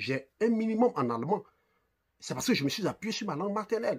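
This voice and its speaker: A man speaks at a high pitch and a fairly quick pace with very wide pitch swings. His tone is animated. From Côte d'Ivoire, Abidjan. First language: Ivorian ethnic language (speaking French). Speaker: online commentator. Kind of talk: video commentary.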